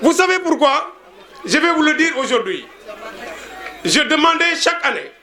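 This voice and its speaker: A man's raised, projected voice at an extremely high pitch, fairly slow with long, frequent pauses, ordinary pitch variation and very even loudness, plus audible room echo and crowd noise in the background. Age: 60s. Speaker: schoolteacher. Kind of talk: speech at a reunion.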